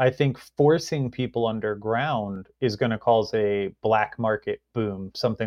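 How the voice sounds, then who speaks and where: Here is a man with a plain, everyday voice and an American accent. His medium pitch shows ordinary variation. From rural Virginia. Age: 30s. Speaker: cannabis industry executive, military veteran. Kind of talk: interview conversation.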